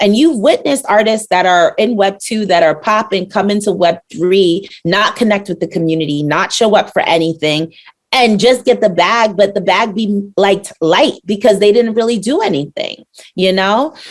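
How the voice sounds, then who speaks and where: This woman has an ordinary speaking voice with an American accent and ordinary pitch variation. Her pitch is medium and her pace moderate. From Brooklyn, New York. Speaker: rapper and NFT artist. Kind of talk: podcast interview.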